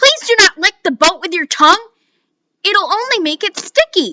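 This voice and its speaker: A woman speaks at a moderate pace in a squeaky, put-on character voice with extremely high pitch, and the sound is dry and close with no echo. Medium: read story. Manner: playful, quick.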